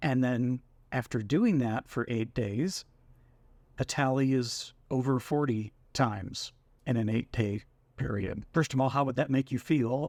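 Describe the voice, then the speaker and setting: The voice moves at a fairly slow pace with ordinary pitch variation, captured in a very clean recording with a silent background. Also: man. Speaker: personal vlogger on mental health. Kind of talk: casual talk to camera.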